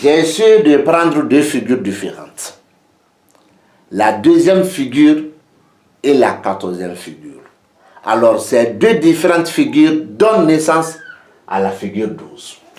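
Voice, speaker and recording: A man with a non-native accent talks at a fairly slow pace, his fairly high pitch swinging very widely and his loudness shifting a lot. Long, frequent pauses break up his speech, and room echo can be heard. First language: not French (speaking French). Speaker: geomancy teacher. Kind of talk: lecture.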